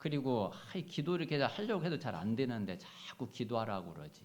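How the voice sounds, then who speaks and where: At a moderate pace, a man with a medium pitch swings his voice very widely, with vocal fry and audible room echo. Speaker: pastor. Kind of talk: sermon. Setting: church. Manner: forceful intonation; hesitant, many fillers.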